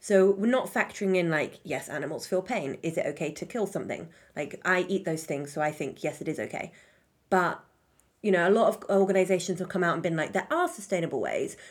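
Against a silent background in a very clean recording, a woman with an American accent talks at a fairly quick pace, medium pitch, and ordinary pitch variation. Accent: British accent drifting American. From Britain. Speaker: podcast co-host. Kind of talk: casual chat. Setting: studio.

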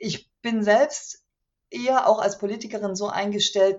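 Somewhat breathy, a woman with a medium-pitched voice speaks at a moderate pace. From East Germany, Chemnitz (Saxony). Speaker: author and local politician. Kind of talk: interview. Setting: video call.

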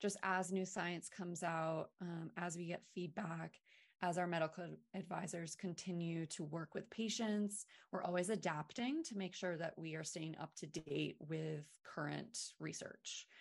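An unremarkable speaking voice from a woman with an American accent, fairly low pitch, fairly even intonation and a fairly slow pace. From Maine, US. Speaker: wellness brand founder. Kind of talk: podcast interview.

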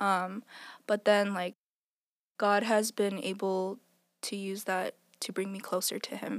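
At a fairly slow pace, a woman with a medium pitch talks in a monotone, flat intonation with long, frequent pauses and a dry, close sound with no echo. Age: 20s. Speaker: church member sharing testimony. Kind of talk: testimony.

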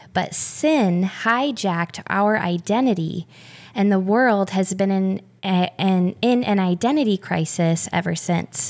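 Fairly slow and at a medium pitch, a woman talks in an ordinary speaking voice. Her pitch varies in an ordinary way. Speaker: guest, mother of four. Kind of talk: casual conversation about faith and motherhood.

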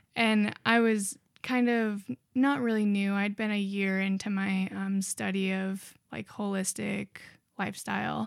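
This woman has an ordinary speaking voice and an American accent. She speaks at a medium pitch with fairly even intonation. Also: fairly slow pace, very clean recording, silent background. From Montana (small town). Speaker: college student. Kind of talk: casual chat.

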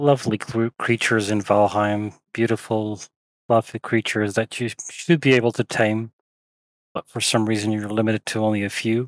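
This is a man with an unremarkable speaking voice. He speaks at a moderate pace and medium pitch. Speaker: podcast co-host. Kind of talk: casual chat.

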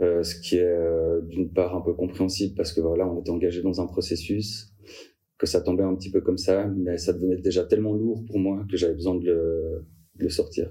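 This dark, mellow voice is somewhat breathy and delivered in a monotone, flat intonation. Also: man, very deep, low pitch for a man, moderate pace. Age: 20s. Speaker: career changer sharing his story. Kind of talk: personal testimony interview. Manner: hesitant, many fillers.

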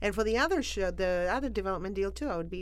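A woman speaks at a very fast pace, with audible room echo. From Argentina, Buenos Aires. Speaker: comedian. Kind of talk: casual chat.

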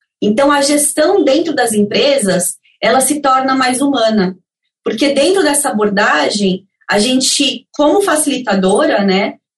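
Her loudness very even, a woman with a high pitch and lively intonation speaks at a fairly slow pace. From Brazil. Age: 30s. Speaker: career coach and consultant. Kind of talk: interview. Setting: remote call.

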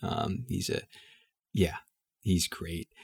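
A man with an American accent, very deep, low pitch, vocal fry and lively intonation, a moderate pace, on a very clean recording with a silent background. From US South, Houston, Texas. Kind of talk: casual interview.

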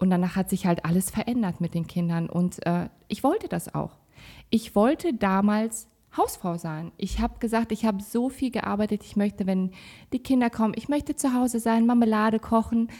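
Somewhat breathy and dark, mellow in tone, a woman speaks at a moderate pace with a fairly high pitch and ordinary pitch variation. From Kazakhstan, raised in Sauerland, Germany. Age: 30s. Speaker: salon owner, mother. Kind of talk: casual chat.

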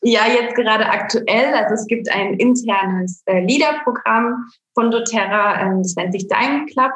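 In a normal speaking voice, a woman talks fairly slowly at a fairly high pitch with ordinary pitch variation. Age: 30s. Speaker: network marketing saleswoman. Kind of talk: casual interview. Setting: home office.

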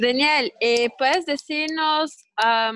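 A woman with a Brazilian accent speaks at a very slow pace and a high pitch, with ordinary pitch variation. The sound is dry and close, with no echo. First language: Portuguese (speaking Spanish). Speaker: webinar host. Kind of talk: online interview / panel talk. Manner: halting.

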